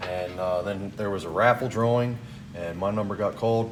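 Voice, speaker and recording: In a room with audible echo and noticeable background noise, a man talks at a moderate pace with fairly even intonation. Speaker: tool collector vlogger. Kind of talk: casual vlog talk. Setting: garage.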